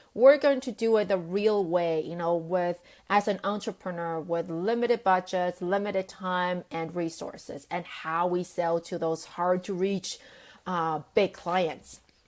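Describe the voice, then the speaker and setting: In a non-native accent, a woman speaks at a medium pitch and a fairly slow pace with ordinary pitch variation, on a very clean recording with a silent background. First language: not English. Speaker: sales coach and business founder. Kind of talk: live video talk to camera. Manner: casual with many fillers.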